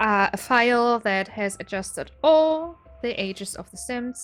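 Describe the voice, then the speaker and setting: A woman's fairly high, lively voice over music in the background. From Germany. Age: 20s. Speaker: gaming YouTuber. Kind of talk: casual game walkthrough. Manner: unscripted, some hesitations.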